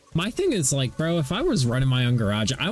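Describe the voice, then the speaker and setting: A man's lively intonation carries through noticeable background noise. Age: 30s. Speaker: gaming livestreamer. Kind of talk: casual chat.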